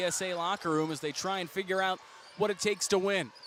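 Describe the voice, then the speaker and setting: A man's high voice at a fairly quick pace with ordinary pitch variation, against noticeable background noise. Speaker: sports play-by-play broadcaster. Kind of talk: radio play-by-play sports broadcast.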